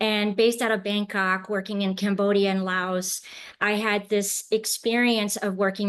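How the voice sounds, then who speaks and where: A woman with an American accent speaks at a medium pitch and a moderate pace. Her intonation is monotone and flat, over a quiet background. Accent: sounds American. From France, then South Korea and China from age eight. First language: French. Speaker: impact finance professional. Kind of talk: interview.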